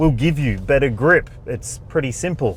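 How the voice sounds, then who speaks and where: A man with an Australian accent at a moderate pace. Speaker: car reviewer. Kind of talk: review talk while driving. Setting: in a car, driving.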